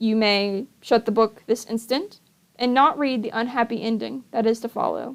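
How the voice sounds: What you hear is a natural reading voice.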